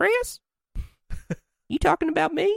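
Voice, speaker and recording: A put-on character voice at an extremely high pitch in a Southern US accent. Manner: sweet, gently questioning.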